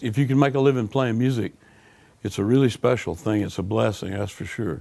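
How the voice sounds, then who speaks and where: A man speaks at a medium pitch, and his pitch varies by an ordinary amount. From US South, Alabama. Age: 60s. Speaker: blues musician. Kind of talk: interview.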